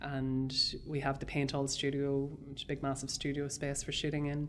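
A woman with a Northern Irish accent speaks in a very deep, low pitch. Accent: Northern Irish border. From Irish border, South Armagh / Dundalk area. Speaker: film director. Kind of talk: interview. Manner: halting.

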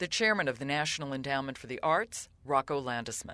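Bright, sharp tone paired with lively intonation marks this voice. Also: woman. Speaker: podcast host. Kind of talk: interview.

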